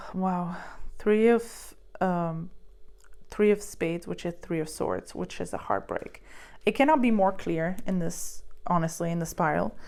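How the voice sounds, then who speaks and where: The recording is very clean, with a silent background. A woman speaks with long, frequent pauses. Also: fairly slow pace. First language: not English. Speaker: tarot reader and psychic medium. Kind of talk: tarot card reading. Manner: halting, many fillers.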